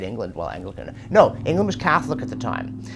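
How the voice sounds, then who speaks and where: A very clean recording with a silent background and a fairly quick pace. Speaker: professor answering viewer questions. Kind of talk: casual commentary Q&A. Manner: fast.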